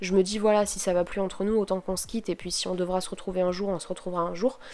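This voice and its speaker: In a monotone, flat intonation, a woman with a dark, mellow tone and medium pitch speaks at a very fast pace. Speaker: podcaster. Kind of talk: casual solo podcast monologue. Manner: hesitant, many fillers.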